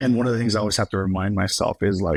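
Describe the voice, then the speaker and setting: A man with an American accent speaks at a very fast pace. The sound is dry and close, with no echo. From Los Angeles, Highland Park. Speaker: entertainment company president and actor. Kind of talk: casual interview chat.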